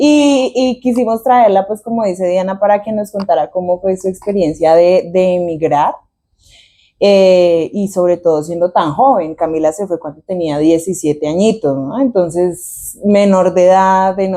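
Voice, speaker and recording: A woman speaks at a fairly slow pace with a dark, mellow tone and ordinary pitch variation against a quiet background. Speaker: podcast co-host. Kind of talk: casual podcast chat.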